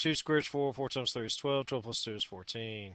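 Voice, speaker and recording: Against a quiet background, a man with a normal speaking voice talks at a fairly quick pace, his medium pitch showing ordinary variation. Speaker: math teacher. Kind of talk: tutorial.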